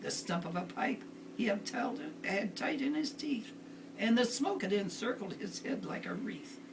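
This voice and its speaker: A woman's high-pitched voice with lively intonation, at a fairly slow pace, over noticeable background noise. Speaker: grandmother reading to family. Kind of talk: storybook poem reading aloud.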